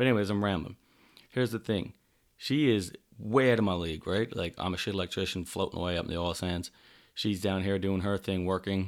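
In a very clean recording with a silent background, a man with a Newfoundland accent talks at a fairly quick pace, with a fairly low pitch and fairly even intonation. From Newfoundland, Canada. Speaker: podcast host, electrician. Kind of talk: casual monologue. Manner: rambling, off the cuff.

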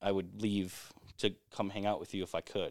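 At a fairly slow pace, a man with an American accent talks in a fairly low pitch with monotone, flat intonation. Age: 30s. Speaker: corporate retail employee. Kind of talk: casual chat. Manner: halting.

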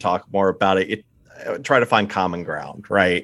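With an American accent, a man speaks at a fairly low pitch. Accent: slight East Coast, Pennsylvania Dutch tone. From eastern Pennsylvania, US. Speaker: board game enthusiast and listener. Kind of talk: casual chat. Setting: remote call.

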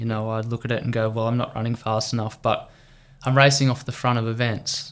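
An Australian-accented man at medium pitch, fairly quick pace, with monotone, flat intonation. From Australia, country Victoria. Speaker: professional triathlete. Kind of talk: podcast interview. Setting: studio.

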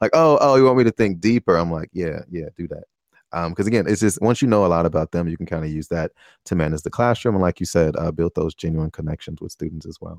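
Against a quiet background, a man talks very fast in a very deep, low voice. The sound is dry and close with no echo, and his pitch varies in an ordinary way. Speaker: podcast host. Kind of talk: interview. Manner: stutter; animated.

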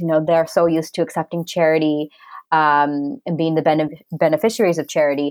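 A woman talks at a fairly quick pace with a Canadian accent. Hers is an unremarkable speaking voice, fairly low in pitch. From Canada. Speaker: social entrepreneur. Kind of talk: interview.

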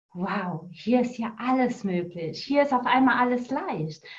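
A woman speaks at a very slow pace in a high voice. Her intonation is lively. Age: 40s. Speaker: coach. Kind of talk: interview.

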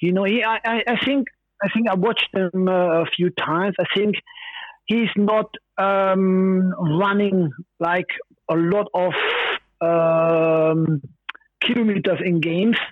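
Speaking very slowly with long, frequent pauses, a man with a German accent keeps a high pitch, fairly even intonation and very even loudness. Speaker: former footballer. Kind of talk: phone interview. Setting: phone call. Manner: halting.

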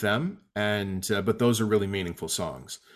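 The speaker has a plain, everyday voice with ordinary pitch variation and a moderate pace. The recording is very clean, with a silent background. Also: man. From Atlantic Canada. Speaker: singer-songwriter and guitar teacher. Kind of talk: casual interview. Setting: home basement.

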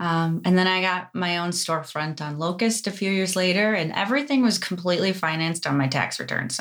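With an American accent, a woman talks in a plain, everyday voice at a moderate pace, her fairly low pitch showing ordinary pitch variation. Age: 30s. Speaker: esthetician and business owner. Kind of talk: casual chat.

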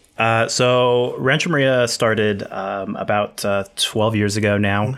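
The speaker has a West Coast accent and talks at a fairly slow pace. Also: man, very clean recording, silent background. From Northern California. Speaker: winery owner and winemaker. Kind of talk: casual chat.

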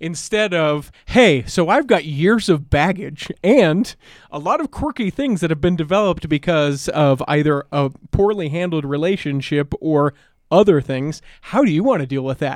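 Here a man with a normal speaking voice talks at a fairly high pitch, with lively intonation and a moderate pace. The recording is very clean and silent behind him, and the sound is dry and close, with no echo. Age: 30s. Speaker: podcast guest. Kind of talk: casual chat.

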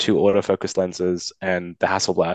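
A man's fairly low voice with an Australian accent, dry and close with no echo. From Sydney, Australia. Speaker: caller. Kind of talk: casual chat. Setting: video call.

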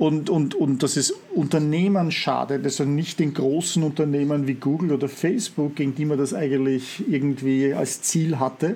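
Very deep and low in pitch, a woman's dark, mellow voice moves at a moderate pace with fairly even intonation. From Austria, Vienna. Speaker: podcast host. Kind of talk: interview.

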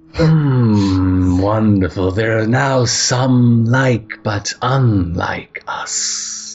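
Faint music plays in the background as a man uses a put-on character voice at a medium pitch and a very slow pace. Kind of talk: fantasy roleplay, solemn pronouncement. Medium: actual play. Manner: formal, archaic and grave.

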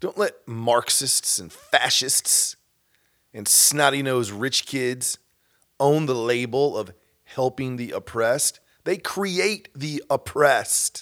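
A man with an American accent at a medium pitch and a very slow pace, lively in intonation, dry and close with no echo, in a very clean recording with a silent background. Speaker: podcast host. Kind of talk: rally speech, preachy call to action. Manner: urgent, forceful, rousing, with emphatic short commands.

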